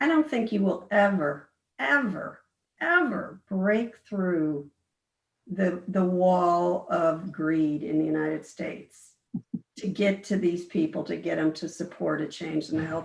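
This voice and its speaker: At a fairly slow pace, a woman speaks in an unremarkable speaking voice with a fairly low pitch and ordinary pitch variation. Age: 60s. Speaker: physician. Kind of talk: casual chat.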